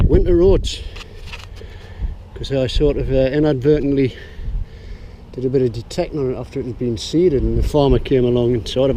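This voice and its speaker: A man with a County Durham accent at a fairly quick pace, over noticeable background noise. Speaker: metal detectorist. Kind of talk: casual talk to camera.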